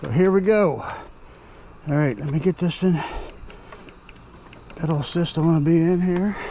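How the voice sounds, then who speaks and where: Noticeable background noise sits under a man talking at a moderate pace. His pitch is fairly high for a man, with ordinary variation. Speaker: ebike reviewer. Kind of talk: casual vlog commentary while riding. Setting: outdoors on an ebike.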